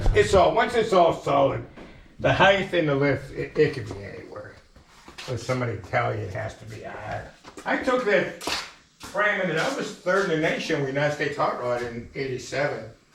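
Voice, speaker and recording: Amid noticeable background noise and audible room echo, a man's voice shifts in big swings of loudness. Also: moderate pace. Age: 70s. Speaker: retired truck puller. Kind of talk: casual chat.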